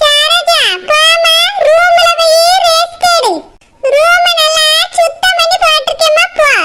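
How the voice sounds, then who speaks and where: In a put-on character voice, a woman speaks at a very slow pace and an extremely high pitch, with very wide pitch swings and very even loudness. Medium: comedy sketch. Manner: warm, fussing.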